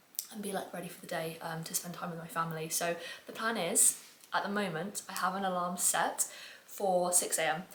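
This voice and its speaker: Monotone, flat intonation in an English accent, with audible room echo and noticeable background noise. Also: woman, fairly quick pace. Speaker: online fitness coach and vlogger. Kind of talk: casual vlog talk to camera. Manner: chatty with many fillers; quiet, soft-spoken.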